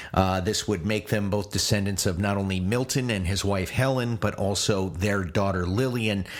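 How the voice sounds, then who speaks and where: With hardly any pauses, a man talks in a fairly low pitch and fairly even intonation. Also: moderate pace. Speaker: podcast host. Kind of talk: unscripted solo podcast monologue. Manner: halting, many fillers.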